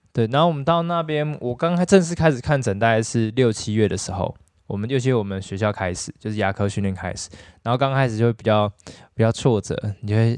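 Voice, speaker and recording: In a normal speaking voice, a man of medium pitch talks at a fairly quick pace with lively intonation against a quiet background. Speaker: dentist. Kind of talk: casual chat.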